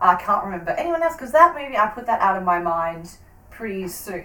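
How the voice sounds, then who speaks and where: Over noticeable background noise, a woman with an Australian accent talks at a very fast pace in a medium pitch, her voice making very wide pitch swings and big swings in loudness. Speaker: podcast host. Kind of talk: casual chat.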